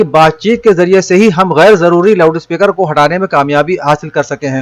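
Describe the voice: Speaking at a fairly quick pace, a man with a fairly high pitch shows ordinary pitch variation.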